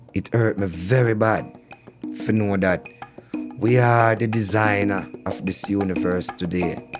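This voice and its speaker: With a Jamaican accent, a man at a fairly low pitch speaks fairly slowly with ordinary pitch variation while music plays in the background. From Kingston, Jamaica. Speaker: reggae soul singer. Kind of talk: interview answer.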